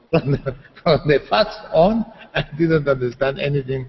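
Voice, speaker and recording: Against noticeable background noise, a man with a fairly high pitch speaks fairly slowly with lively intonation. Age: 60s. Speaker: writer and psychologist. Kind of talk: interview. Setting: video call. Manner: halting, repetitive.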